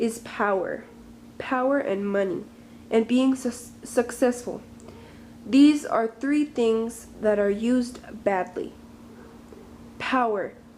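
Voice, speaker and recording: A woman's high voice at a very slow pace, with ordinary pitch variation and long, frequent pauses. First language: not English. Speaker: vlogger. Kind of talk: opinion vlog monologue. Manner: halting.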